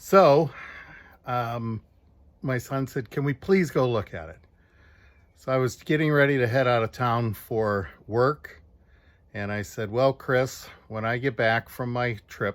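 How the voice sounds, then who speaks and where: A man speaks at a medium pitch and a fairly slow pace on a very clean recording with a silent background. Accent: Chicago. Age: 60s. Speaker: retired steelworker, car owner. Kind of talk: personal video appeal, storytelling. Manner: halting, with fillers.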